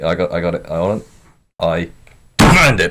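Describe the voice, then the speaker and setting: In a put-on character voice, a man speaks raspy and very deep at a fairly quick pace. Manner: demanding, forceful.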